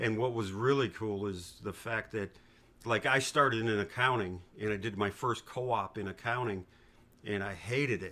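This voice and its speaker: With an American accent and a bright, sharp tone, a man speaks at a moderate pace, his pitch fairly low and his intonation fairly even. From New York. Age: 50s. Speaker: father of the host. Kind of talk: interview. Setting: home.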